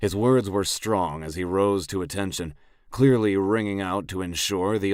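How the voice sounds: Fairly even intonation in a natural reading voice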